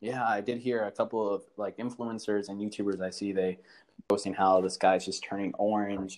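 A man with an American accent speaks at a moderate pace in a fairly low voice. His intonation stays monotone and flat. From Houston, Texas. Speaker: podcast co-host. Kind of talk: casual interview chat.

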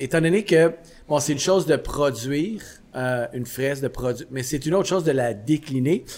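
Fairly high-pitched male speech at a moderate pace, with ordinary pitch variation over noticeable background noise. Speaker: podcast host, coffee shop owner. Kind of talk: casual chat. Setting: coffee shop.

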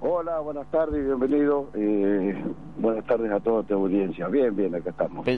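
A man with a medium-pitched voice and lively intonation speaks at a moderate pace over noticeable background noise. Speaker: club president. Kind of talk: radio interview. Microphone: poor connection.

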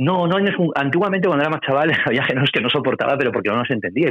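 Very fast, lively-intoned speech from a man over noticeable background noise. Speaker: music journalist. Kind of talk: interview.

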